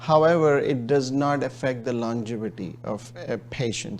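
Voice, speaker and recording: A man with a Pakistani accent speaks at a moderate pace. His pitch is medium, with fairly even intonation. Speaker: gastroenterologist. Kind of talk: interview. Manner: hesitant, many fillers.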